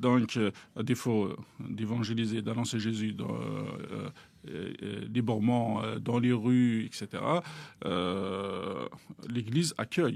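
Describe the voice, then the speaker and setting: A man with an Algerian accent, fairly low-pitched, at a very slow pace with ordinary pitch variation, over noticeable background noise. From Algeria, Kabylie. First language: Kabyle (speaking French). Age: young. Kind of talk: interview testimony. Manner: hesitant, many fillers.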